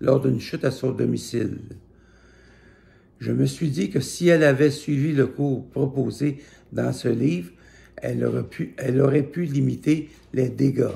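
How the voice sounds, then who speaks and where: A man's dark, mellow tone at medium pitch, with vocal fry and a fairly slow pace. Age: 70s. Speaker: judo instructor. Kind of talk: scripted narration.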